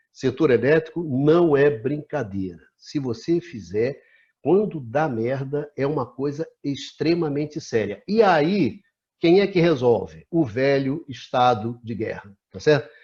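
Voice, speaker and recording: Over a quiet background, a man talks at a very slow pace with lively intonation. His voice is fairly high and somewhat breathy. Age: 60s. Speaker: talk show host, energy sector analyst. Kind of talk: discussion interview. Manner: animated.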